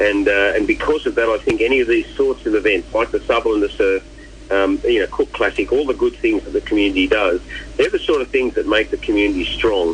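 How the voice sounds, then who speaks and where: With an Australian accent, a man talks at a very fast pace over noticeable background noise. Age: 60s. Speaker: charity event chairperson. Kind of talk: radio interview. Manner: halting, many fillers and repeats.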